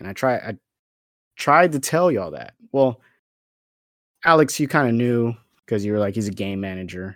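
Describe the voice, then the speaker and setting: With lively intonation and long, frequent pauses, a man speaks at a moderate pace and a medium pitch. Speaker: football podcast host. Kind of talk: angry sports rant, profane and sarcastic.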